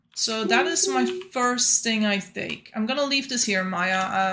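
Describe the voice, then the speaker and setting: With a non-native accent, a woman talks at a moderate pace in a fairly high pitch. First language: not English. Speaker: gaming streamer. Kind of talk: live gameplay commentary. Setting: livestream. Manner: casual, chatty.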